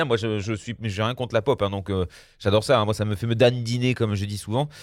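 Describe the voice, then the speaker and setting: With a medium pitch, a man delivers his words at a fairly quick pace. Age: 40s. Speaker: radio host. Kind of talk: casual radio chat. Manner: halting.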